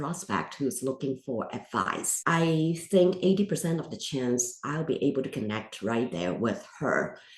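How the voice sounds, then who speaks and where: A woman speaks at a moderate pace with lively intonation. She leaves hardly any pauses. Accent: non-native. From immigrant to the US. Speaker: podcast host; financial advisor. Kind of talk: interview.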